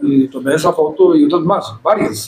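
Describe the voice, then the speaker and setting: A man speaks with fairly even intonation. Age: 70s. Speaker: photographer. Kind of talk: panel discussion.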